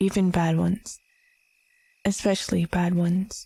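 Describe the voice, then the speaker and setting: On a very clean recording with a silent background, a soft-spoken woman talks at a fairly slow pace in a dark, mellow, somewhat breathy tone. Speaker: vtuber. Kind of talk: comfort ASMR roleplay.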